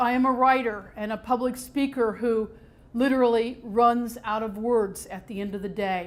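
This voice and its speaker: A woman talks at a moderate pace in an unremarkable speaking voice, fairly high for a woman, with fairly even intonation. Her loudness swings widely. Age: 60s. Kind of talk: public talk.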